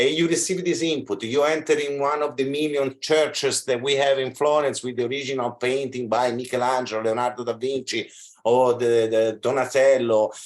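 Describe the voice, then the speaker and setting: A man talks at a fairly quick pace with an Italian accent. His intonation stays fairly even. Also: medium pitch for a man, hardly any pauses. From Italy. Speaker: fashion school representative. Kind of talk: video call discussion.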